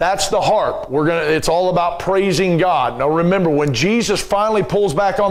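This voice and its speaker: A man talks in a high voice while audible room echo and noticeable background noise fill the recording. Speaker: Bible teacher. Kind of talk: Bible class lecture. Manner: halting.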